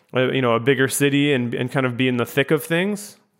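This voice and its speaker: This is an ordinary speaking voice with an American accent. The intonation stays fairly even. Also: man. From US Midwest, Chicago. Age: 20s. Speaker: podcast host. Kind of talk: casual interview chat.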